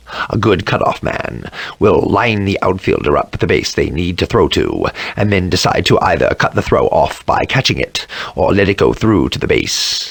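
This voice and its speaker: A man puts on a raspy character voice. He delivers it at a moderate pace. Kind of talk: glossary explanation in character. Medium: dub.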